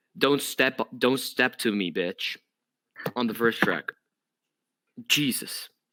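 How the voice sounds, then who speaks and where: Someone with a non-native accent speaks at a fairly slow pace in a bright, sharp tone. The recording is very clean with a silent background and a dry, close sound with no echo. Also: man. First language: not English. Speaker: podcast host. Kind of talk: casual chat. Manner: animated.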